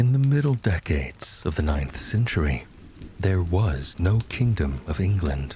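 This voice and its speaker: Over noticeable background noise, a man speaks at a fairly slow pace with a very deep, low pitch, very wide pitch swings and very even loudness. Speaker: voice actor. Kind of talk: sleep story.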